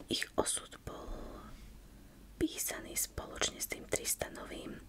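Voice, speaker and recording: Someone whispers at a fairly slow pace while noticeable background noise carries on. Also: woman. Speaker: ASMR creator and book reviewer. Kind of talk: casual book review talk to camera. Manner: soft-spoken.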